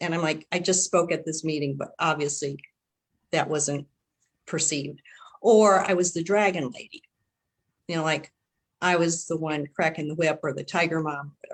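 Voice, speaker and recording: A woman with a Chicago accent speaks at a moderate pace in a very deep, low voice, her intonation fairly even and broken by long, frequent pauses. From US Midwest, Chicago. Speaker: panelist, former corporate manager. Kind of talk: panel discussion.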